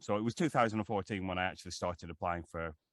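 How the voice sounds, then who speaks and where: A man's very deep, low voice in a Lancashire accent, with a dry, close sound with no echo and a quiet background. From northern England, Lancashire. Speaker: actor and voiceover artist. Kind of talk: interview. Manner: halting, many fillers and repeats.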